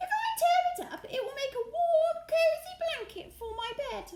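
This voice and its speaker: A woman uses a squeaky, put-on character voice at an extremely high pitch, with lively intonation, big swings in loudness, and a moderate pace. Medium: read story.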